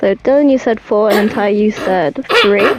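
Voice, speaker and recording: Music plays in the background as a woman speaks. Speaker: podcast host. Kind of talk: casual chat. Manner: fast.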